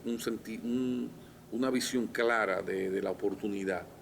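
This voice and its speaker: In a Dominican Cibao accent, a man speaks fairly slowly at a medium pitch, with fairly even intonation. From Dominican Republic, La Vega. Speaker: physician and politician. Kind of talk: interview conversation.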